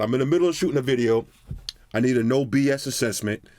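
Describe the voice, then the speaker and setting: Keeping very even loudness, a man speaks at a very fast pace at a medium pitch with ordinary pitch variation. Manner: forceful.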